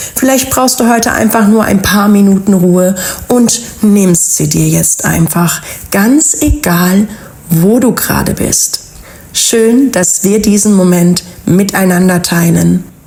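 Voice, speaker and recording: A woman with a medium pitch and a calm tone speaks at a very slow pace with very even loudness. Her pitch variation is ordinary, and noticeable background noise is present. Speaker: wellness podcast host. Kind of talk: inspirational podcast monologue.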